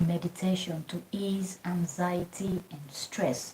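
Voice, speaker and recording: Noticeable background noise sits under a soft-spoken woman. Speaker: fitness and lifestyle vlogger. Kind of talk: guided meditation livestream talk. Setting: home livestream. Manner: soft-spoken, talking low; casual, repetitive.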